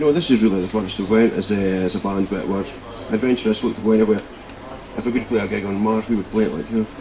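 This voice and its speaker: A man with a Scottish accent, fairly low-pitched, at a very fast pace with fairly even intonation and noticeable background noise. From Scotland, Fife. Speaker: rock band bass player. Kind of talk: casual interview.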